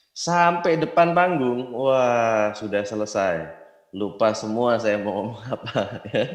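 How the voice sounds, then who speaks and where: In a room with audible echo, a man speaks very slowly at a medium pitch with lively intonation. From Indonesia, Yogyakarta. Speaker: network marketing distributor. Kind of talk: motivational business talk.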